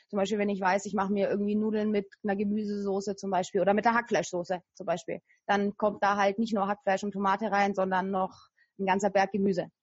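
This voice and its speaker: With a somewhat breathy, medium-pitched voice, a woman speaks very fast in a flat monotone. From Franconia, Germany (Nuremberg). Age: 30s. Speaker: weight loss coach. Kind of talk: interview.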